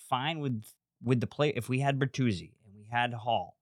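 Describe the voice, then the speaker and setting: A man with a plain, everyday voice, medium pitch, fairly even intonation and a fairly quick pace, in a dry, close sound with no echo on a very clean recording with a silent background. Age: 40s. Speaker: podcaster and sports fan. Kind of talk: casual chat. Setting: studio.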